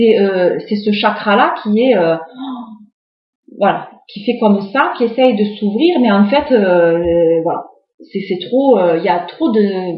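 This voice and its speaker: Amid audible room echo, a woman at a medium pitch talks with lively intonation. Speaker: tarot card reader. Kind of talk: tarot reading video, casual monologue. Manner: hesitant, many fillers.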